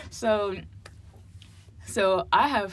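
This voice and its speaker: A woman with an American accent in a room with audible echo. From New Jersey (Hillside, near Newark). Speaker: college student. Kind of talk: casual chat.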